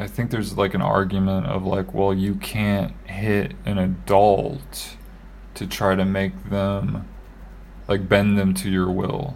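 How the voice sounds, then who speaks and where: A man's fairly low-pitched voice at a very slow pace, with ordinary pitch variation and audible room echo. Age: 30s. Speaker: podcast co-host. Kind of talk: casual chat.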